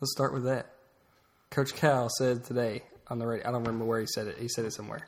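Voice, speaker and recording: A somewhat breathy man talks at a very fast pace. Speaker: sports podcast host. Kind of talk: casual chat.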